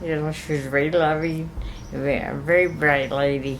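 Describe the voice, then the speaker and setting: A woman speaks over noticeable background noise. Her pitch is very deep and low. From Santa Fe, New Mexico. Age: 80s+. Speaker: gift shop owner. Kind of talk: interview answer.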